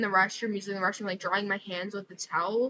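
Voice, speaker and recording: A woman's medium-pitched voice with fairly even intonation, an ordinary speaking voice. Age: 20s. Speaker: vlogger. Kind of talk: casual chat. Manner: casual, filler-heavy.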